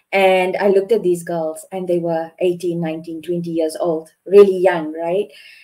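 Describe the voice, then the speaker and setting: A woman's dark, mellow tone at a fairly low pitch, with monotone, flat intonation and a fairly slow pace over a quiet background. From South Africa. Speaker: security hiring manager; panelist. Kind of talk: panel discussion. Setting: video call. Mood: encouraging, earnest. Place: home room. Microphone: video call.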